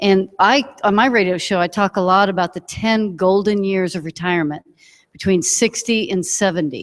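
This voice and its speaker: In a very clean recording with a silent background, a woman of medium pitch talks at a moderate pace with ordinary pitch variation. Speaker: financial planner. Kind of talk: panel talk. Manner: quieter than the other panelist.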